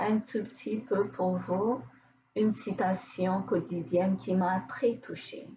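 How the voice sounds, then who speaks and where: Speaking very slowly, a woman has a dark, mellow tone with vocal fry, a medium pitch and ordinary pitch variation. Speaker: therapist. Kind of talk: casual talk to camera.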